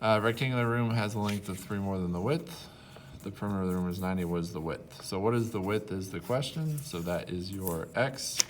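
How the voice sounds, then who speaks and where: A fairly quick delivery over noticeable background noise. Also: man, fairly low pitch for a man, ordinary pitch variation. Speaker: math teacher. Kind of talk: tutorial.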